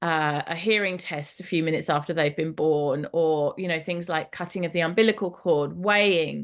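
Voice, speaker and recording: An ordinary speaking voice from a woman, fairly low in pitch, at a moderate pace with fairly even intonation against a quiet background. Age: 40s. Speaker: yoga and birth teacher, doula. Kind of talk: online training session.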